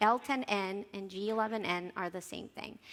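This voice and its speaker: Bright and sharp in tone, a woman with a Spanish accent speaks at a moderate pace and medium pitch. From Colombia. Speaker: software localization engineer, conference speaker. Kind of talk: conference talk.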